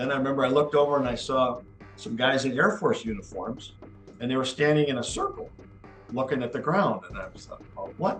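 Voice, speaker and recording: Music plays in the background as a man with an American accent talks at a very fast pace. His pitch is medium and his intonation lively. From Wisconsin, USA. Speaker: army officer, Wisconsin National Guard veteran. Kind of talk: oral history interview answer.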